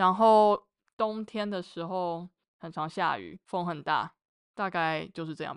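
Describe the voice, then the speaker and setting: A woman with a plain, everyday voice, fairly low in pitch and fairly slow, with big swings in loudness. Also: fairly even intonation, quiet background. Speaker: mechanical engineer. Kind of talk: casual chat.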